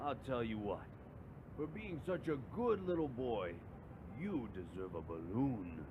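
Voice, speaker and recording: A put-on character voice at a fairly slow pace with long, frequent pauses, over loud background noise. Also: man, medium pitch for a man. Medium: read story. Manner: loud, almost mocking.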